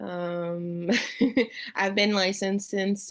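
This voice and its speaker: A woman speaks very slowly with a French accent. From Montreal, Quebec. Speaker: new real estate agent. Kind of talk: self-introduction in class.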